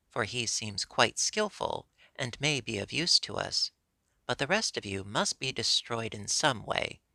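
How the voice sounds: A reading voice sounds natural. Behind it, the background is quiet.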